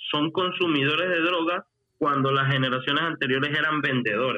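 A fairly high-pitched male voice with ordinary pitch variation. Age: 30s. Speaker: rapper. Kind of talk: casual chat. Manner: talkative once warmed up.

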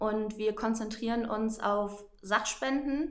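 There is audible room echo as a woman speaks at a fairly high pitch. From northern Germany, Oldenburg. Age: 20s. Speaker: volunteer organizer and Instagram influencer. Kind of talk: interview.

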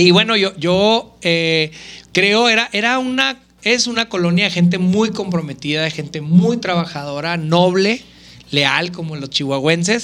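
The voice has a bright, sharp tone and ordinary pitch variation, moving at a fairly slow pace. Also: man, high pitch for a man. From Mexico, Chihuahua city. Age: 30s. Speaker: politician. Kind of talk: interview.

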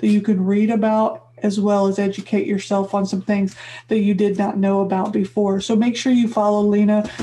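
A woman with an American accent speaks at a medium pitch in a dark, mellow, somewhat breathy tone. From US Midwest. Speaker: podcast host. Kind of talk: interview.

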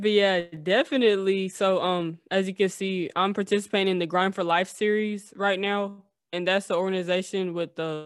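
Using an ordinary speaking voice, a woman talks at a medium pitch and moderate pace with fairly even intonation. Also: very clean recording, silent background. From US South, Tennessee. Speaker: skateboarder. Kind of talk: interview.

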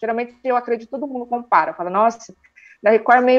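A woman is speaking. Her pitch is high. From Sorocaba, interior of São Paulo, Brazil. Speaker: YouTuber, TV series reviewer. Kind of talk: casual interview chat.

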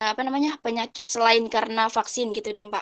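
In a dry, close recording with no echo and a quiet background, a woman speaks in a flat monotone at a fairly high pitch. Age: 20s. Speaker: university student. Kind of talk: casual discussion. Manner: halting.

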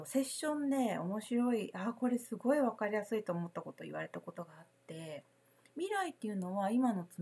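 Somewhat breathy, a woman talks at a moderate pace with very wide pitch swings. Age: 40s. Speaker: spiritual consultant and podcast host. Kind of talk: solo podcast talk. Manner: casual, many filler words.

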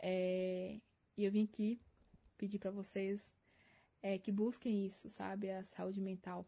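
A woman speaks in a dark, mellow, somewhat breathy voice with monotone, flat intonation. Her pace is fairly slow, broken by long, frequent pauses. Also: medium pitch for a woman. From Minas Gerais, Brazil. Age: 20s. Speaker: university physics student. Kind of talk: prepared testimony.

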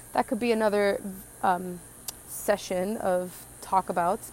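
A woman with an American accent talks at a moderate pace. Her pitch is medium and her intonation fairly even. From Southern California. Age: 20s. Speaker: podcaster and painter. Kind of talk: casual solo monologue. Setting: outdoors in backyard.

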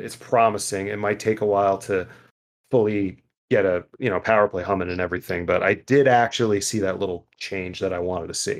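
The recording is very clean, with a silent background. A man with a fairly low pitch talks at a fairly quick pace in an ordinary speaking voice. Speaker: podcast host. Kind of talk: casual chat.

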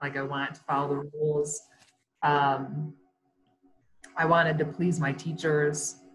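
A woman's very deep, low, somewhat breathy voice with an American accent, fairly slow and fairly even in intonation, with long, frequent pauses. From US Midwest (west Michigan, near Grand Rapids). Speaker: photographer and former teacher. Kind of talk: casual interview chat. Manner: halting.

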